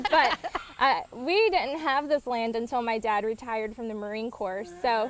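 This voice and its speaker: Over noticeable background noise, a woman with an American accent speaks in a fairly high voice. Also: ordinary pitch variation, moderate pace. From Eastern North Carolina. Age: 20s. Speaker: horse pageant queen. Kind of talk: interview. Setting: outdoors on a farm.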